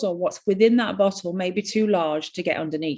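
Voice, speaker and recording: A woman with a northern English accent, lively intonation and a moderate pace. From northern England. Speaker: skin care practitioner. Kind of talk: webinar presentation. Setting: online webinar.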